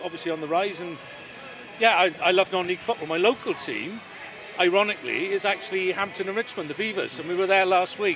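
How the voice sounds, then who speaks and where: Against noticeable background noise, a man talks very fast in a high pitch. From Wales, Swansea. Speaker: lawyer and football club adviser. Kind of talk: interview.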